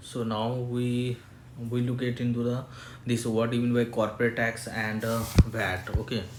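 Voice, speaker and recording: A man's medium-pitched voice at a moderate pace, monotone and flat in intonation, with audible room echo. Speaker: chartered accountant giving tax tutorial. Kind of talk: tutorial. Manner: halting, many fillers.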